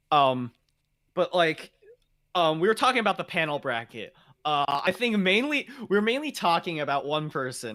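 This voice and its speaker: Loud and bright with a sharp tone, a man talks at a fairly quick pace while his pitch swings very widely. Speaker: gaming podcast host. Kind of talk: casual chat. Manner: loud, high energy; fast, talkative.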